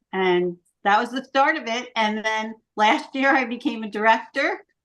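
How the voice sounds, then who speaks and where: In a raised, projected voice with a bright, sharp tone, the speaker talks at a moderate pace with ordinary pitch variation. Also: woman. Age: 70s. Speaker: sales director. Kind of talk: business meeting talk.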